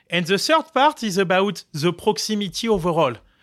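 With a French accent, a man talks at a moderate pace on a very clean recording with a silent background. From France, Marseille. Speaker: tech company founder and CEO. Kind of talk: interview. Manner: halting, many fillers.

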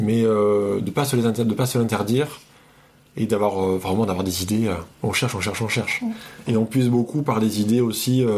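Medium-pitched male speech at a moderate pace, fairly even in intonation, with long, frequent pauses and noticeable background noise. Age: 30s. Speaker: psychiatric nurse. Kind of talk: casual chat. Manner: halting.

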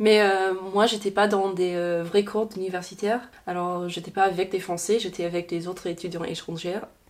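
A woman's medium-pitched voice at a moderate pace, monotone and flat, over noticeable background noise. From Louisiana, Baton Rouge. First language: English (speaking French). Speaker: student abroad. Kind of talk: casual interview. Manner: halting.

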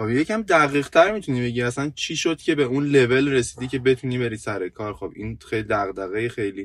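The man's intonation is lively and his pitch medium. He speaks at a fairly quick pace. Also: hardly any pauses. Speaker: podcast co-host, IT worker. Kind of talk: casual chat. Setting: in a car.

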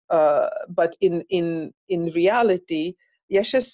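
Dry and close with no echo, a woman's voice with a fairly low pitch and a dark, mellow tone moves at a very slow pace. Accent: Hungarian. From Hungary. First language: Hungarian. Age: 50s. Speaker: tantra and intimacy coach. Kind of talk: casual interview. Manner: halting, repeats words.

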